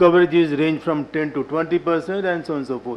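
At a fairly quick pace, a man speaks in a high voice. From India. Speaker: government health official; panelist. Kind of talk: panel discussion. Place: meeting room. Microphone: podium.

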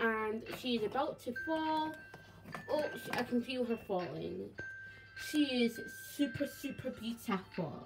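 Against clear music in the background, a woman speaks very slowly at a high pitch with long, frequent pauses. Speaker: toy collector channel host. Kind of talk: toy collection show-and-tell. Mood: enthusiastic, admiring. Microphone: phone near.

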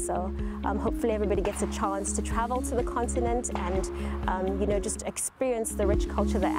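A woman at a fairly quick pace, dry sound with no echo, and loud music in the background. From Nairobi, Kenya. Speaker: army officer. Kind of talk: interview answer. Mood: warm, upbeat. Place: open country.

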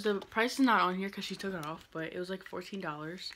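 A woman is talking, and noticeable background noise can be heard behind her. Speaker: vlogger. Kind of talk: casual vlog chat. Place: home room. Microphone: phone near.

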